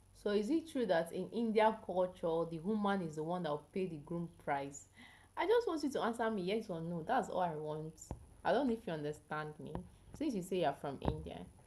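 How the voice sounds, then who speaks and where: A woman with a medium pitch and a dark, mellow tone, with lively intonation at a fairly quick pace. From Nigeria. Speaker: health educator, live streamer. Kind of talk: live stream chat with viewers. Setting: live stream.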